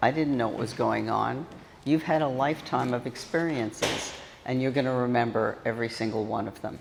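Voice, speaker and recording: A woman's very deep, low voice with ordinary pitch variation at a moderate pace, in audible room echo. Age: 70s. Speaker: conference speaker, prison reform advocate. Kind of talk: conference talk.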